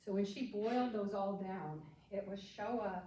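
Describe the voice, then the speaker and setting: Speaking at a fairly slow pace with an American accent, a woman has a medium pitch, a dark, mellow tone and a somewhat breathy sound, with audible room echo around her. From US Midwest (Kansas Flint Hills farm). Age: 80s+. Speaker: psychotherapist. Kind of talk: life story talk.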